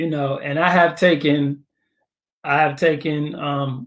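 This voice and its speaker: Speaking very slowly, a man with an American accent uses a fairly high pitch. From New York. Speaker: podcast host. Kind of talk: casual chat.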